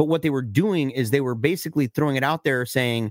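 An ordinary speaking voice from a man, medium in pitch with ordinary pitch variation, dry and close with no echo, on a very clean recording with a silent background. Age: 40s. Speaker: film podcast co-host. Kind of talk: casual chat.

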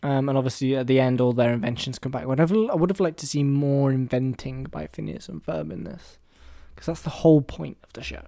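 A man with an English accent, dark, mellow tone, very fast pace and big swings in loudness. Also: medium pitch for a man. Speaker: film podcast host. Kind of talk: casual monologue. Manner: hesitant, many fillers.

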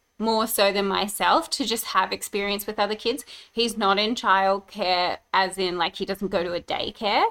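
A woman speaks with an Australian accent at medium pitch. Her pace is moderate. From Brisbane, Australia. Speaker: podcast host and mum. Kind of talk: casual chat.

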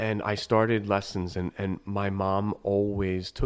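A man with an American accent in monotone, flat intonation, on a very clean recording with a silent background. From northeastern Pennsylvania, New York family. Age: 30s. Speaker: opera conductor. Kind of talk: casual interview chat. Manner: friendly, casual.

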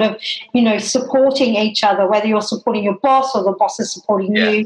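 A woman talks with a slight Australian accent. Her intonation is fairly even. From Tasmania, Australia. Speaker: hairdresser. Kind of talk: casual chat.

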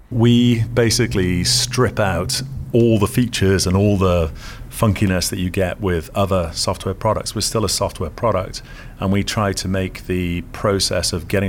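A man speaks in a British accent at a very deep, low pitch. His pitch variation is ordinary. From UK. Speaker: tech company CEO. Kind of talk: interview. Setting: his office.

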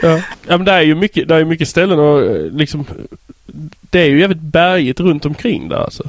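Using long, frequent pauses, a man with a Scanian accent speaks at a fairly high pitch and a fairly quick pace. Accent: Skåne dialect. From southern Sweden (Skåne). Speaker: podcast host. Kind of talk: casual interview chat. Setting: Skype call.

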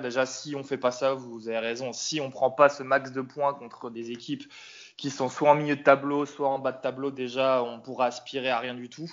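Flat, monotone intonation from a man at medium pitch, with noticeable noise behind him. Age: 30s. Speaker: football fan. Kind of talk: casual chat.

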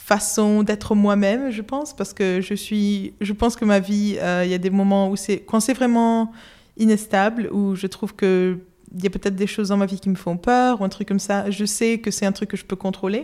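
The recording is very clean with a silent background, carrying a dark, mellow tone and monotone, flat intonation. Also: woman, medium pitch for a woman, moderate pace. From Spain, Madrid. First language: Spanish (speaking French). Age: 20s. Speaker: illustrator. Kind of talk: casual interview. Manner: halting, many hesitations.

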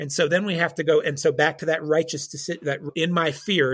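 A man's voice comes through somewhat breathy with ordinary pitch variation. The recording is very clean, with a silent background. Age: 50s. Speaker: church counselor and licensed counselor. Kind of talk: interview on faith and mental health. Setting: call.

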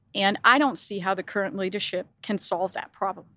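Speaking with a Danish accent, a woman talks at medium pitch and a moderate pace. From Denmark. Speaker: business executive. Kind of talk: interview.

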